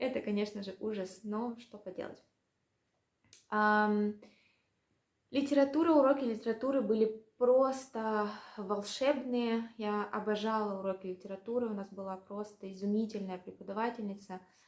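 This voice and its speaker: A woman's fairly high voice at a moderate pace, with fairly even intonation, long and frequent pauses, and big swings in loudness. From Russia. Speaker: language vlogger. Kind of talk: casual vlog monologue. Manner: hesitant, many fillers.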